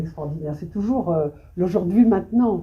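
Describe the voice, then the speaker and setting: A woman speaks with a Belgian accent. Her pitch is medium and her pace fairly quick. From Belgium, Brussels. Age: 70s. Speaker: photographer. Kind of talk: interview on stage. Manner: halting, many hesitations.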